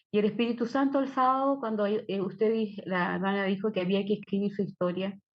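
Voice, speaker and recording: Somewhat breathy speech at a moderate pace with fairly even intonation. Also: woman. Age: 60s. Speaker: church member. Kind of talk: testimony.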